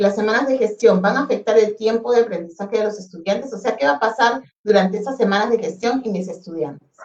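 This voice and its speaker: Very fast in pace, a woman speaks with a fairly high pitch. Her pitch variation is ordinary. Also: hardly any pauses. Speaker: education ministry specialist. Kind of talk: webinar presentation. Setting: online webinar.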